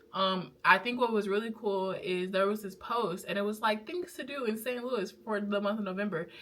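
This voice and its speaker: Through noticeable background noise, the voice keeps a moderate pace with ordinary pitch variation and hardly any pauses. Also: woman, medium pitch for a woman. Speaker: vlogger and small business owner. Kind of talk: casual vlog talk to camera. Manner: casual, rambling with fillers.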